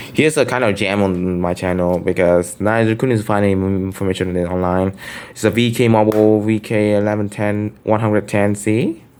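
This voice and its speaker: Speaking with a Vietnamese accent, a man with a fairly low pitch keeps a moderate pace and fairly even intonation, with hardly any pauses. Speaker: phone collector vlogger. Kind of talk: show-and-tell collection video. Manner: casual, hesitant with fillers.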